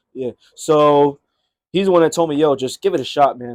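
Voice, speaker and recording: In a dry, close recording with no echo and a quiet background, a man with a fairly high pitch talks at a fairly quick pace in a normal speaking voice. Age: 20s. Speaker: comedian. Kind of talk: casual chat.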